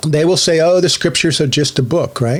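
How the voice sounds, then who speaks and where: A man speaks at a moderate pace with ordinary pitch variation. He has an unremarkable speaking voice. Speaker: online religious teacher. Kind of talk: solo monologue teaching.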